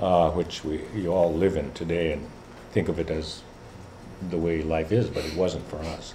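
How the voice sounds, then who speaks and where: A man speaks in a very deep, low voice with a dark, mellow tone, somewhat breathy and with fairly even intonation, over audible room echo. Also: moderate pace. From Alaska, Kotzebue area (Inupiat). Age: 70s. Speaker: Alaska Native leader and professor. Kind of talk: talk to students. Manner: halting, many fillers.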